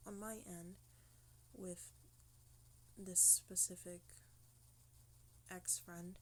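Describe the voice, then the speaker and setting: A woman whispers. She goes at a very slow pace. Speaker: vlogger asking for help. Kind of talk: personal testimony vlog. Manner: whispering; halting. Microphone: low quality, quiet audio.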